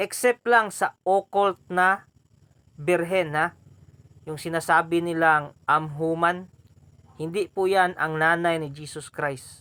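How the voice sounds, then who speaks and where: A man's high, bright, sharp voice at a very slow pace with fairly even intonation, dry and close with no echo. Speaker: YouTube host answering viewer questions on esoteric topics. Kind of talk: Q&A monologue video.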